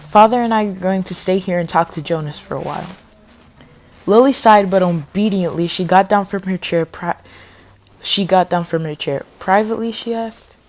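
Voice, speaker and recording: Fairly quick speech from a woman, her pitch varying in an ordinary way. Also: medium pitch for a woman. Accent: slight non-native. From Spanish-speaking home. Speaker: audiobook reader, youtuber. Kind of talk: reading aloud. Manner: halting, stumbles over words; fast when talking freely.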